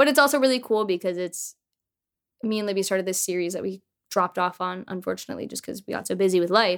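A woman rattles along at a very fast pace, her medium pitch showing ordinary variation. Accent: American. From Michigan, US. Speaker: singer-songwriter and podcast producer. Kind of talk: casual chat.

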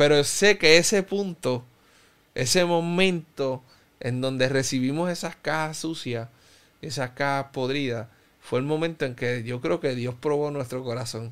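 This man has an unremarkable speaking voice, fairly high in pitch, with ordinary pitch variation and a fairly slow pace. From Cuba. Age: 30s. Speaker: pastor. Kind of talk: interview testimony.

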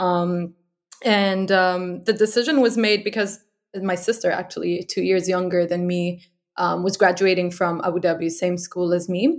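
The recording is very clean, with a silent background, and a woman speaks at a moderate pace with medium pitch. She has an unremarkable speaking voice and fairly even intonation. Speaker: design manager. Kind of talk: casual interview.

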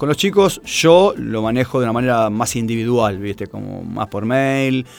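A man's medium-pitched voice with ordinary pitch variation and music in the background. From Argentina, Buenos Aires area (Tigre). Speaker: running coach. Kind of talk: interview.

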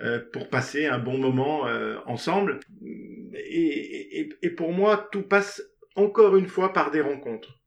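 Very slowly, a man speaks at a high pitch with very wide pitch swings. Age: 60s. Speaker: theatre director, former tennis coach. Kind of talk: interview. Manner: halting.

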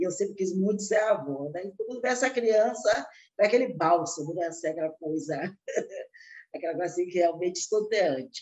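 At a moderate pace, a woman of medium pitch speaks with very wide pitch swings. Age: 60s. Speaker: chef and cookbook author. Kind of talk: interview.

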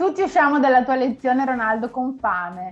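A woman speaks in a high-pitched voice. Her pitch varies in an ordinary way. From northeast Italy, Vicenza. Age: 30s. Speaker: Italian teacher. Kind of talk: casual chat.

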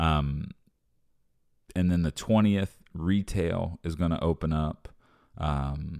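In a very clean recording with a silent background and a dry, close sound with no echo, a man speaks with fairly even intonation in a very deep, low pitch and a dark, mellow tone. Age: 30s. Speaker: podcaster and real estate agent. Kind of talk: solo audio journal. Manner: casual, rambling with fillers.

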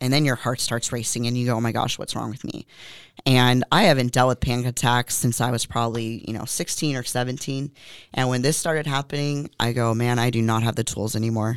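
Someone with an American accent speaks at a fairly quick pace with fairly even intonation. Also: woman, very deep, low pitch for a woman. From Southern California. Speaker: gym owner and bodybuilder. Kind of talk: interview about personal story.

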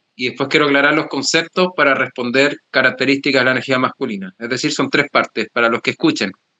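A man's delivery comes at a fairly quick pace, pitched in the medium range, in an unremarkable speaking voice. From Chile. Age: young. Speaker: psychologist and men's work facilitator. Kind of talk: interview.

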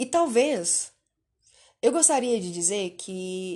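With a Minas Gerais accent, a woman speaks at a very slow pace in a fairly high pitch. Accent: Brazilian Portuguese, Minas Gerais. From Brazil, Belo Horizonte. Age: 20s. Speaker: podcaster. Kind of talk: personal monologue. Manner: halting.

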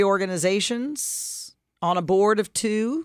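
On a very clean recording with a silent background, a woman speaks at a fairly slow pace. She has an ordinary speaking voice and ordinary pitch variation. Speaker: radio co-host and leadership coach. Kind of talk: casual co-hosted radio discussion.

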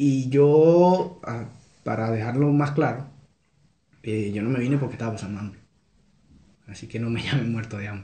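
Long, frequent pauses break up a somewhat breathy voice with a dark, mellow tone and big swings in loudness, heard with audible room echo. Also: man, medium pitch for a man, ordinary pitch variation, moderate pace. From Venezuela, Carúpano, Sucre state. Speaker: Venezuelan immigrant. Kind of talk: casual chat.

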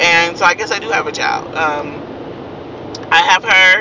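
A woman with an American accent speaks at a fairly low pitch amid noticeable background noise. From Kansas, then San Francisco Bay Area. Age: 20s. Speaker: vlogger. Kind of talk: casual monologue to followers.

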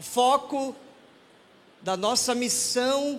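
A man's extremely high voice with ordinary pitch variation and audible room echo. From Manaus, northern Brazil. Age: 30s. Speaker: pastor. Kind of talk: sermon. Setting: church.

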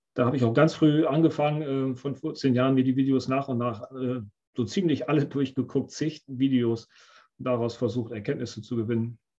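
At a moderate pace, a man speaks at medium pitch in a dark, mellow tone with fairly even intonation. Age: 50s. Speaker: options trader. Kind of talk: interview.

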